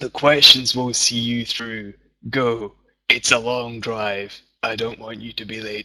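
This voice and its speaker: A man does a put-on character voice, raspy and monotone at medium pitch. He goes at a fairly slow pace with big swings in loudness. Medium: read story.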